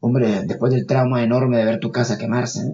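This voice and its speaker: A fairly quick pace and a somewhat breathy voice. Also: man. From Nicaragua. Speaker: architect and researcher. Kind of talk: interview testimony. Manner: halting, with many fillers and repetitions.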